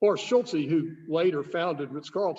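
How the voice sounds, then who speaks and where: A man's voice, high in pitch, with ordinary pitch variation. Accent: Southern. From US South, Nashville, Tennessee. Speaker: wine shop owner hosting tasting. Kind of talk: casual chat.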